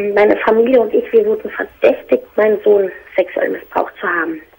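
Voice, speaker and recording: A woman's voice at a moderate pace. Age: 30s. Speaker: caller. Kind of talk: personal phone-in conversation. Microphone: phone line.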